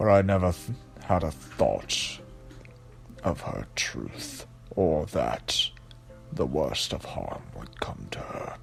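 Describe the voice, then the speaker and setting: A man's put-on character voice at a very slow pace, with long, frequent pauses and big swings in loudness, clear music in the background. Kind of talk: gothic horror reading. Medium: read story. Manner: earnest, anguished, halting.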